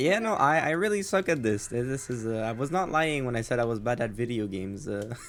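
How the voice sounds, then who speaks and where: A man with a non-native accent speaks at a fairly quick pace, his pitch medium and his intonation lively. He hardly pauses, and there is noticeable background noise. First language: not English. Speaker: streamer, interview host. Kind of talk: casual chat. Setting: live stream. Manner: stammering.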